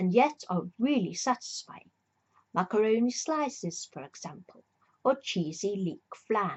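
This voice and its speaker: A woman's somewhat breathy voice rides at a fairly high pitch with very wide pitch swings. She moves at a fairly slow pace. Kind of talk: ASMR reading of a book. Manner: soft-spoken.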